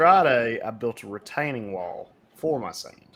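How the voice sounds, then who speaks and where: The speaker is a man. He sounds bright and sharp. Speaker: podcast co-host. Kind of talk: casual chat.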